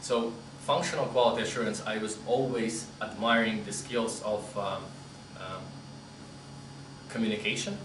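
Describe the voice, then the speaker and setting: A man's medium-pitched voice comes through noticeable background noise and audible room echo. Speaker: QA solution architect, conference speaker. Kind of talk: conference talk Q&A.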